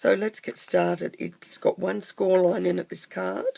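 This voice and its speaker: A woman with an Australian accent talks at a moderate pace, her sound dry and close with no echo. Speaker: papercraft tutor. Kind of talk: tutorial. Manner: casual, chatty.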